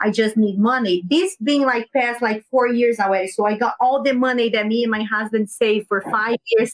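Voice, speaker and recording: In a Brazilian Portuguese accent, a woman with a fairly high pitch and ordinary pitch variation talks at a moderate pace with hardly any pauses, her loudness very even and the sound dry and close with no echo. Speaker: business owner. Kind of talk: podcast interview.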